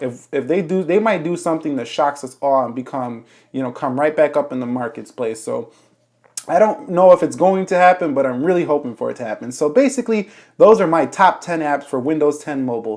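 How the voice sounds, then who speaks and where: Over a silent background in a very clean recording, a man talks at a fairly quick pace with lively intonation. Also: fairly high pitch for a man. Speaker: tech YouTuber. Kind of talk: tutorial. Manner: fast; casual.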